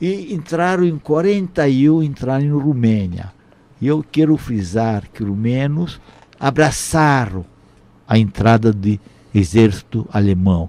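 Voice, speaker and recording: A man with a non-native accent and a dark, mellow tone speaks at a fairly slow pace, his medium pitch moving in very wide pitch swings. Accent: foreign accent in Portuguese. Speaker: Holocaust survivor. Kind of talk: testimony. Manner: halting.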